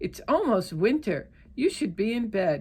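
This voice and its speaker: A woman uses a put-on character voice at fairly high pitch. Her pace is moderate. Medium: read story.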